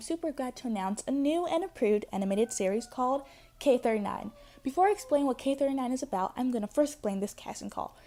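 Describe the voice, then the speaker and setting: A woman talks at a very fast pace in a high pitch with lively intonation. Her tone is dark and mellow. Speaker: casting call announcer, animation project creator. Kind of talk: reading a script. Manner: fast, rushed.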